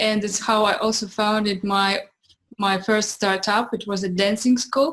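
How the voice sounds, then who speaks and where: Speaking with a Russian accent, a woman uses a fairly high pitch and fairly even intonation. Her pace is fairly slow. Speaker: entrepreneur and dancer. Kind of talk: interview. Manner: halting.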